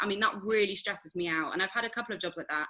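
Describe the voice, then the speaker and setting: This woman speaks with a Nottingham accent. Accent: regional Nottingham. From Nottingham, England. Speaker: actress and voiceover artist. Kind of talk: interview. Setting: podcast.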